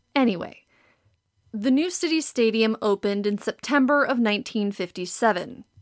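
In an American accent, a woman speaks at a moderate pace and a fairly high pitch with lively intonation and very even loudness, on a very clean recording with a silent background and a dry, close sound with no echo. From Wisconsin, Green Bay. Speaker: podcast host, art history PhD student. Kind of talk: scripted narration.

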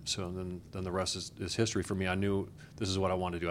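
Recorded with audible room echo, a man with a very deep, low voice talks at a very fast pace. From Wisconsin, US Upper Midwest. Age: old. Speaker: TV news anchor and investigative reporter. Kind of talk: casual interview. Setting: conference room.

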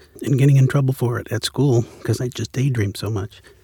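A man with an American accent, somewhat breathy, at a very fast pace, with a dry, close sound and no echo. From Central California. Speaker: playwright and director. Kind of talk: interview. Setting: studio. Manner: halting.

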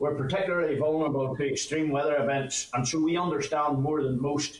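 A man with a Northern Irish accent, fairly high pitched, at a moderate pace and with fairly even intonation, over noticeable background noise. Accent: Northern Irish (Ulster). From Northern Ireland, north coast (County Antrim). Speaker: farmers' union president. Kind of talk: committee evidence session.

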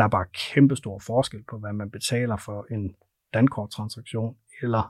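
On a very clean recording with a silent background, a plain, everyday voice moves at a moderate pace with fairly even intonation. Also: man. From North Jutland, Denmark. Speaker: payments company sales director. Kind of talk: interview. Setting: studio.

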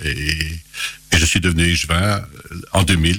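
Against noticeable background noise, a man speaks with a very deep, low pitch and fairly even intonation. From Belgium, Charleroi area (Hainaut). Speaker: local politician. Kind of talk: radio interview. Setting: radio studio. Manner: halting.

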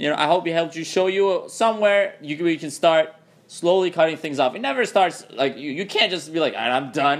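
This man's voice is high-pitched. He speaks fairly quickly. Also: ordinary pitch variation. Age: 20s. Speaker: podcast host. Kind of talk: casual chat.

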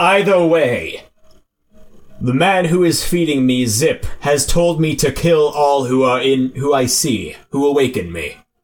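A man puts on a character voice with a fairly high pitch. He talks at a fairly slow pace. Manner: alternates lofty formal speech with casual slacker talk.

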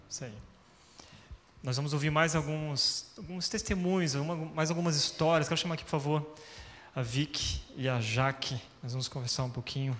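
A man speaks at a moderate pace with a fairly high pitch and ordinary pitch variation. Long, frequent pauses break up his speech. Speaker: pastor. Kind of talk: church stage interview. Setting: stage with audience.

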